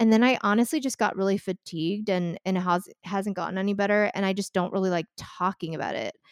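On a very clean recording with a silent background and dry, close sound with no echo, a woman speaks fairly quickly at a medium pitch with ordinary pitch variation. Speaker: podcast host. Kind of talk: casual chat.

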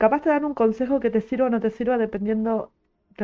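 A woman talks at a very fast pace in an animated tone. Her pitch variation is ordinary. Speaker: podcaster and streamer. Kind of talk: casual monologue. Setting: live stream.

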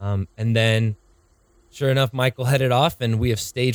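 With an American accent and a normal speaking voice, a man at a medium pitch talks at a fairly quick pace in a very clean recording with a silent background and a dry, close sound with no echo. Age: 20s. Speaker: podcast host, church worship staff. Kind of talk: casual chat.

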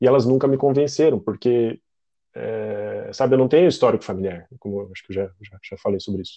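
Lively intonation and big swings in loudness mark this man's dark, mellow tone as he talks at a fairly quick pace. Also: medium pitch for a man. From Curitiba, southern Brazil. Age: 30s. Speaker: health service client. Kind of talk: podcast interview. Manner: halting, many repetitions.

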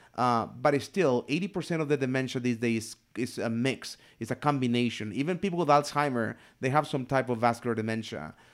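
In a very clean recording with a silent background, a man talks at a fairly quick pace in a plain, everyday voice, medium in pitch with ordinary pitch variation. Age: 40s. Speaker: podcast host, aging care. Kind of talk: casual chat.

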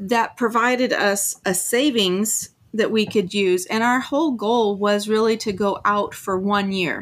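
A woman with an ordinary speaking voice talks at a fairly slow pace in a medium pitch, her intonation fairly even. Her loudness stays very even on a very clean recording with a silent background. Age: 50s. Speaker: full-time RVer and YouTuber. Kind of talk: casual interview.

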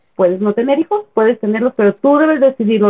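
A woman with a fairly high pitch moves at a moderate pace, her pitch swinging very widely. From Chihuahua, northern Mexico. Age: 30s. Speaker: feminist page administrator. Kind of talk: casual chat.

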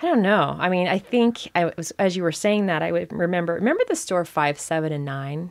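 A plain, everyday voice with an American accent at a fairly quick pace, with hardly any pauses. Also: woman, fairly low pitch for a woman, ordinary pitch variation. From Arizona, US. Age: 50s. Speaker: social media creator on life over fifty. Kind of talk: casual chat.

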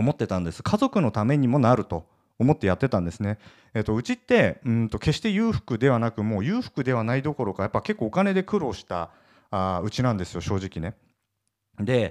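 A man speaks at a fairly quick pace in a normal speaking voice of medium pitch, the sound dry and close with no echo on a very clean recording with a silent background. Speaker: entrepreneur podcast host. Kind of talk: solo podcast monologue. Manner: casual with many fillers.

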